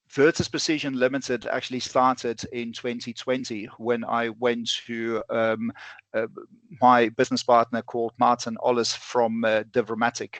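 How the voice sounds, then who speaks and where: Spoken at a fairly slow pace with a South African accent, the voice stays monotone and flat, recorded with a dry, close sound with no echo against a quiet background. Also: man. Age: 40s. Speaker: bullet manufacturer and ballistics instructor. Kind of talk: podcast interview. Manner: halting, many fillers.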